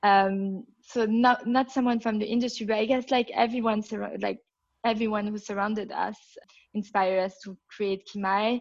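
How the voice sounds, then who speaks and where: A woman with a French accent, fairly high in pitch, with monotone, flat intonation. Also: moderate pace. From Belgium. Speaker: entrepreneur. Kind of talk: interview.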